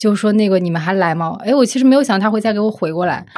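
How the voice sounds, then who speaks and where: In a very clean recording with a silent background, a woman talks at a very fast pace in a fairly high pitch with ordinary pitch variation. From Zibo, Shandong. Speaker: magazine editor. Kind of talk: casual chat.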